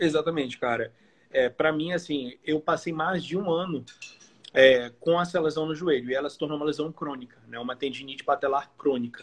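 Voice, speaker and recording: Speaking fairly quickly, a man has a normal speaking voice at a fairly high pitch. His intonation stays fairly even while his loudness swings widely. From Belém, Pará, northern Brazil. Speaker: professional bodybuilder. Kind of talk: casual chat.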